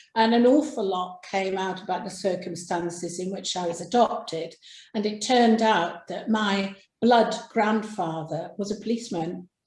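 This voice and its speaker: A woman speaks with an English accent. Her pitch varies in an ordinary way. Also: medium pitch for a woman, moderate pace. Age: 60s. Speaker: crime writer. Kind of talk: interview. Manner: halting.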